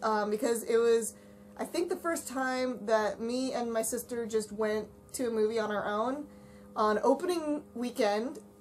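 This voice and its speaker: A woman talks with a fairly high pitch and ordinary pitch variation. There is noticeable background noise. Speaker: fandom Q&A podcast host. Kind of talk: casual Q&A chat. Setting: voice call.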